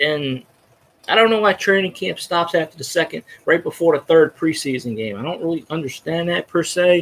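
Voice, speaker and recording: Loud and fairly quick, a man speaks at a high pitch with ordinary pitch variation. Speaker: sports fan vlogger. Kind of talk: casual monologue. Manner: rambling, halting with false starts.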